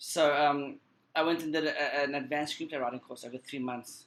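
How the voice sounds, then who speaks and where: Talking at a very fast pace, a man with a South African accent keeps a medium pitch and fairly even intonation. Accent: South African accent, clearly audible. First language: Portuguese Creole. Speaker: screenwriter and film editor. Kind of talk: interview. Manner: halting, repeats words.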